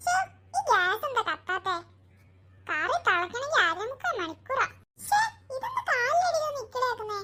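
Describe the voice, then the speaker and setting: An extremely high-pitched, cartoonish character voice moves along at a moderate pace. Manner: fussing, exclaiming.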